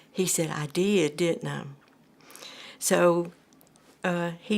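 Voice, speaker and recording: A woman with an Alabama accent speaks very slowly at a fairly low pitch with fairly even intonation, on a very clean recording with a silent background. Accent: Southern US (Alabama). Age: 70s. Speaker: cancer patient. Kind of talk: testimony. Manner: halting.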